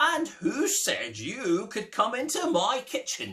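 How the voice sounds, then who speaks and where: A man uses a put-on character voice at an extremely high pitch. His pace is fairly slow. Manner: loud, confronting.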